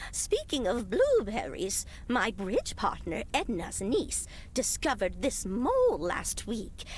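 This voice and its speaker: A woman's put-on character voice at a fairly slow pace, over clear background noise. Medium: video game.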